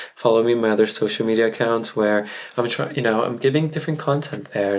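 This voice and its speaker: A man delivers his words at a fairly quick pace. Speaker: content creator and tarot reader. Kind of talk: personal vlog monologue. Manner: casual, conversational.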